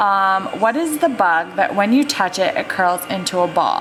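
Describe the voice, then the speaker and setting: With music in the background, a woman in a Maine accent speaks very slowly at a medium pitch. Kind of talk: casual talk to camera.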